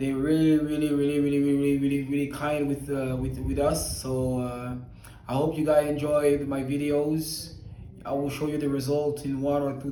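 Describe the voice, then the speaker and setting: A fairly high-pitched man's voice in a flat monotone, with audible room echo and noticeable background noise. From Belgium. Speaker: patient giving a testimonial. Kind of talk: testimony. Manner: halting, with fillers.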